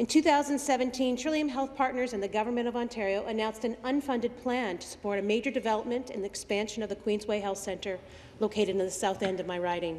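A woman at a very fast pace, with hardly any pauses and ordinary pitch variation. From Canada. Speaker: provincial legislator. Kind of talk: parliamentary statement. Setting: legislative chamber. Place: hall. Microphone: podium.

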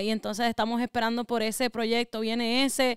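A woman with a Puerto Rican accent speaks at a moderate pace in a high, flat monotone, the sound dry with no echo and the background quiet. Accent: sounds Puerto Rican. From US Northeast (Connecticut), Ecuadorian family. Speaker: rapper; podcast guest. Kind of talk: interview. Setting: studio. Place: home room. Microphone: studio mic.

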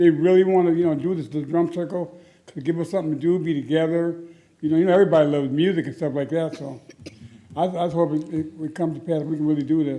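A man speaks at a very fast pace with a fairly high pitch. His tone is dark and mellow, and his intonation is fairly even. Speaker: resident speaking at a council meeting. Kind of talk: public testimony. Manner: halting.

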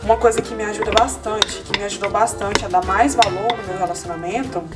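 Through loud background noise, a woman talks at a very fast pace. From Goiânia, Brazil. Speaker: vlogger. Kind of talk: casual vlog talk to camera. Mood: hurried, playful. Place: home room. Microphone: camera far.

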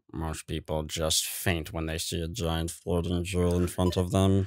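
A put-on character voice comes at a moderate pace in a very clean recording with a silent background. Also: man, very deep, low pitch for a man.

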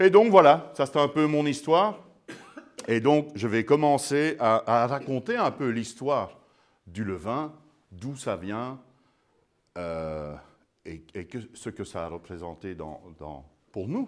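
With very wide pitch swings and big swings in loudness, a man talks at a very slow pace, leaving long, frequent pauses. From Belgium. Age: 50s. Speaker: sourdough expert and baker; guest. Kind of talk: public lecture. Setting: museum talk with live audience. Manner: animated. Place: hall.

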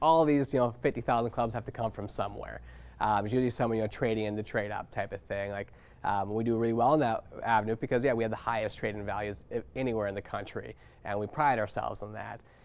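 This man speaks very fast. He keeps his intonation fairly even. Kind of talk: interview answer. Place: shop. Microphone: lapel.

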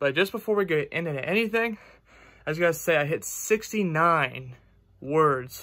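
Against a quiet background, a man speaks in a bright, sharp tone. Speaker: fitness vlogger. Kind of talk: casual vlog chat. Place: home room. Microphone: phone near.

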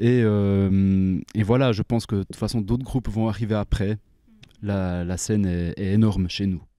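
A man's fairly low-pitched voice at a moderate pace, with fairly even intonation, a dry sound with no echo and a quiet background. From French-speaking Switzerland. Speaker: metal band member. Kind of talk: band interview. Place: hall. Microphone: handheld.

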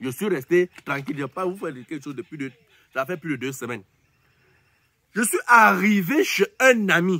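In a quiet, dry setting with no echo, a man speaks in a high, bright, sharp voice with very wide pitch swings, big swings in loudness and long, frequent pauses. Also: moderate pace. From Cameroon. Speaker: YouTuber commentator; entertainment vlogger. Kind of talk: casual monologue to camera. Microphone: phone near.

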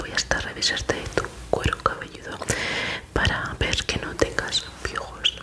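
Soft-spoken delivery at a fairly slow pace against loud background noise. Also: woman. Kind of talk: ASMR roleplay, soft-spoken questions. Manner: soft, hushed ASMR roleplay voice. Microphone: studio mic.

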